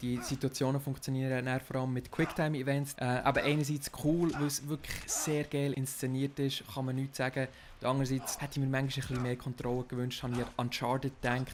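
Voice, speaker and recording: A man with a Swiss accent and flat, monotone intonation. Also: medium pitch for a man, hardly any pauses. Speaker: podcast host. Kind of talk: casual podcast game review discussion.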